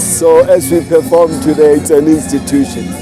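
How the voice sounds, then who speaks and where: Over music in the background, a man with a fairly high pitch talks at a fairly slow pace. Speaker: spoken word artist and drama educator. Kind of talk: interview answer. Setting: outdoors. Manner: reflective, conversational.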